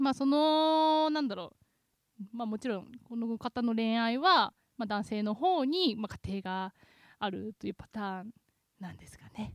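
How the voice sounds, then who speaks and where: A woman with an unremarkable speaking voice talks at a fairly slow pace and fairly high pitch, her intonation lively. Her loudness swings widely, and the sound is dry and close with no echo. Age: 20s. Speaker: podcast host. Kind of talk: casual chat. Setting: studio.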